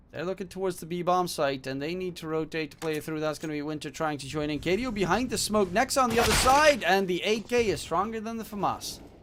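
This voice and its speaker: Speech races at a very fast pace with lively intonation over noticeable background noise. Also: man, high pitch for a man. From Netherlands. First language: Dutch. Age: 20s. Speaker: esports caster and streamer. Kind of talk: casual chat with stream viewers; live commentary. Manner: animated.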